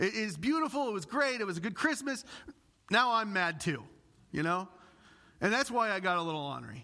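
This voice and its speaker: A man with an American accent uses a raised, projected voice with a bright, sharp tone and a high pitch that swings very widely. He moves at a fairly quick pace with long, frequent pauses, on a very clean recording with a silent background. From US Midwest, Illinois. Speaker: pastor. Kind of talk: sermon. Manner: passionate.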